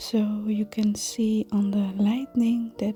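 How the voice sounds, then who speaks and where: A soft-spoken voice whispers at a very slow pace. Music plays in the background. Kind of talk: ASMR craft tutorial talk. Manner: soft-spoken, whispered.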